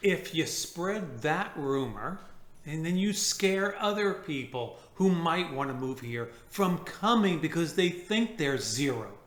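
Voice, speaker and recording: Against noticeable background noise and audible room echo, a man with a high voice speaks very slowly with lively intonation. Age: 60s. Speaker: retiree vlogger. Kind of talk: casual chat.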